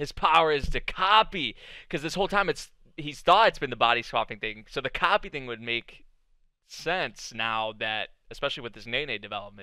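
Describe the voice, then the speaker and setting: A man speaks at a moderate pace with a bright, sharp tone and very wide pitch swings. The sound is dry with no echo against a quiet background. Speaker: anime reactor. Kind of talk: reaction commentary. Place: home room. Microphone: headset.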